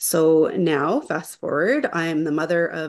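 Against a quiet background, a woman with a Canadian accent speaks in an ordinary speaking voice with fairly even intonation. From Niagara Falls, Ontario, Canada. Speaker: webinar host. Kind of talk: webinar hosting.

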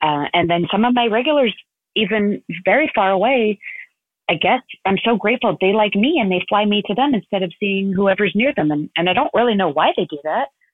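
The woman's voice carries an American accent, heard in a dry, close sound with no echo. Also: medium pitch for a woman, lively intonation, fairly quick pace.

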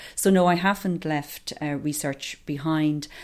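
A woman's very deep, low voice in an Irish Midlands accent, very slow, in a very clean recording with a silent background. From Ireland, County Offaly. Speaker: organisation executive and public health professor. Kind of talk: interview. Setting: office.

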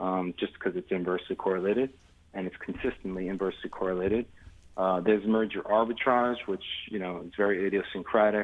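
A man with an American accent talks at a fairly quick pace in a fairly low pitch. He has a normal speaking voice. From New York City (Astoria, Queens). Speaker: investment firm founder. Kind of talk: interview. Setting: studio.

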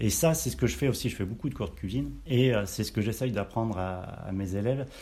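A man speaks at a fairly low pitch with a dark, mellow tone. His voice is somewhat breathy. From Auvergne, France. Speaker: chef. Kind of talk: casual interview. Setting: on location at caviar farm.

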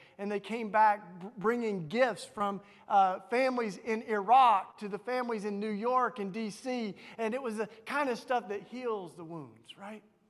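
A man with a Southern US accent talks at a fairly slow pace in a high pitch, his intonation fairly even while his loudness swings widely. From Tennessee, US South. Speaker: author and activist, speaker. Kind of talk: sermon. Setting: church, in front of a congregation.

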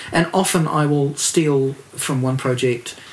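A man with a New Zealand accent speaks at a medium pitch with ordinary pitch variation. Background noise is noticeable. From New Zealand, Dunedin. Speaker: record producer and label owner. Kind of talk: casual chat.

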